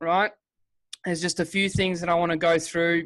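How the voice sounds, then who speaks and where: In an Australian accent, a man speaks with an energetic tone, a high pitch and a moderate pace. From Western Australia. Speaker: online business presenter, former miner. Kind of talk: webinar sales presentation. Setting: video call webinar with screen share. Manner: casual, energetic.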